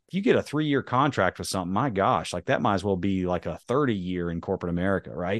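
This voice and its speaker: A man with a slight Southern US accent and lively intonation, recorded with a dry, close sound with no echo over a quiet background. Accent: slight Southern drawl. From North Carolina. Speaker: monster truck driver and motivational speaker. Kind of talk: casual interview.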